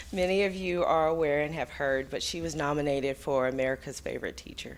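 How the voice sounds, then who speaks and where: This woman has a very deep, low voice and talks at a very fast pace. Her intonation stays fairly even. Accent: Texas. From Texas. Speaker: school administrator presenting awards. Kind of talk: award presentation at public meeting.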